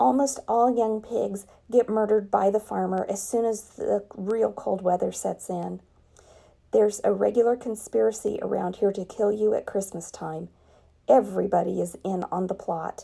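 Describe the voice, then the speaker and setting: In a put-on character voice, a woman sounds raspy at medium pitch. She keeps a moderate pace. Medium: read story. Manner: blunt, matter-of-fact.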